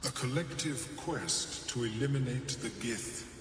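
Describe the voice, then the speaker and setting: A man does a put-on character voice at a fairly slow pace, with clear background noise and clear echo. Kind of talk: eerie telepathic speech. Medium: video game. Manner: detached, precise.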